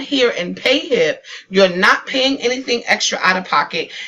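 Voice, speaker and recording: Her tone is animated and excited, with lively intonation. The woman's pitch is fairly high and her pace fairly slow. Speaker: online business tutorial YouTuber. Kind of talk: screen-share tutorial. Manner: animated, excited.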